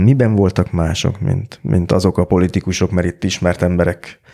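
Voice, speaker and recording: A man with a very deep, low pitch and a dark, mellow tone talks at a fairly quick pace. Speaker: podcast host. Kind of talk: interview.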